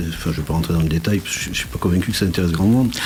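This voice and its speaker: Against noticeable background noise, a man speaks at a very deep, low pitch. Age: 60s. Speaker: entrepreneur, business support network president. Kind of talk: radio interview.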